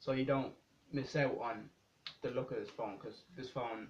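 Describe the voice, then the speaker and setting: Intonation here is fairly even. The delivery comes out somewhat breathy. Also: man. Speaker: tech reviewer. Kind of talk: unboxing review. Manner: casual, hesitant.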